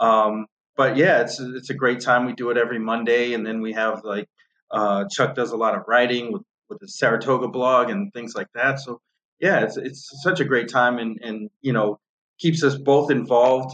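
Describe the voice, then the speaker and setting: With an American accent and an ordinary speaking voice, a man talks at a moderate pace and medium pitch with ordinary pitch variation and big swings in loudness, the sound dry and close with no echo. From north of Boston, Massachusetts. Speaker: horse racing handicapper and podcast host. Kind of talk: casual interview chat.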